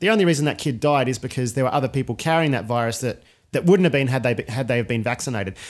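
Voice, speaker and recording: Intonation rises and falls in a lively way. The man talking has an Australian accent. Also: quiet background. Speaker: podcast host. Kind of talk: casual chat.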